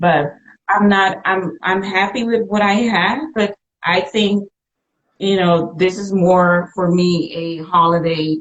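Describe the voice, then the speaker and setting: Very slow pace from a woman at medium pitch with fairly even intonation. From Suriname, then the Netherlands from age 15. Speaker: boutique owner, entrepreneur. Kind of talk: interview.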